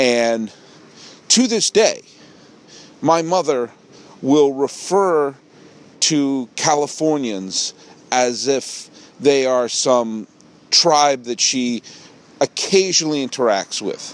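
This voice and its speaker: In a New England accent, the speaker goes at a very slow pace with long, frequent pauses and lively intonation. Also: man, fairly high pitch for a man. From New England, Massachusetts and Connecticut. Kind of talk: solo podcast monologue. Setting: outdoors.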